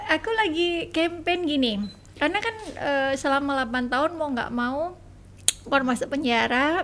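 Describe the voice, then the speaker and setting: Amid noticeable background noise, a woman with a high pitch speaks at a moderate pace with lively intonation. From Indonesia, Surabaya. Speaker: charity founder. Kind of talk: casual interview.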